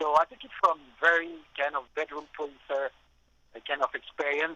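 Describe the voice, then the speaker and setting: Dry and close with no echo, a man's fairly high-pitched voice has a bright, sharp tone and moves at a moderate pace. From western France, Nantes. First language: French. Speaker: music producer. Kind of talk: radio interview. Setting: phone call. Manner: talkative, with many hesitations and repeated words.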